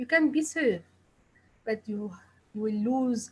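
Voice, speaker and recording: A woman speaks in a fairly high pitch with an Arabic accent. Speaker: pediatrician. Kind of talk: presentation.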